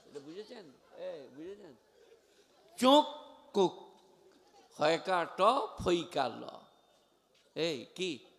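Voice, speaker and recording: A man speaks with a high pitch and very wide pitch swings. His loudness also swings a lot. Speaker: Islamic preacher. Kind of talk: sermon. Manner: animated.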